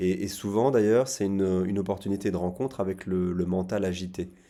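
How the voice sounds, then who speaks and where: A man speaks with a fairly low pitch. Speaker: psychotherapist. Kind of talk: casual talk to camera. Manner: fast; halting, repeated words.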